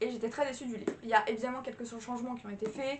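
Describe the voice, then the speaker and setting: This woman's voice sits high. Its pitch rises and falls in an ordinary way. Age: 20s. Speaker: book vlogger. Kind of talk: casual vlog review. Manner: animated.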